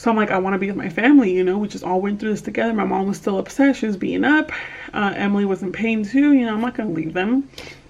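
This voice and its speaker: Over noticeable background noise, a woman speaks at a very fast pace with a medium pitch and ordinary pitch variation. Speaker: vlogger. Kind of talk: vlog.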